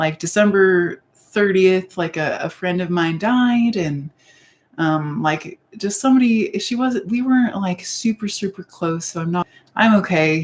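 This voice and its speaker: A woman speaks at a fairly slow pace in a somewhat breathy voice. Her pitch is medium, with ordinary variation. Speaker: YouTuber. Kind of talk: casual live-stream talk to camera.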